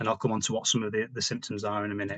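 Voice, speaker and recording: In a dry, close sound with no echo, a man speaks with a British accent. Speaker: diabetes physical activity advisor. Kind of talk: webinar presentation. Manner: fast.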